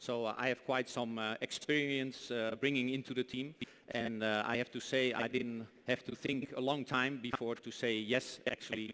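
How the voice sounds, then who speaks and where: Delivering his words at a moderate pace, a man at medium pitch has a bright, sharp tone and monotone, flat intonation. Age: 50s. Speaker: motorsport team director. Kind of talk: speech at a launch event. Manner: halting, many fillers.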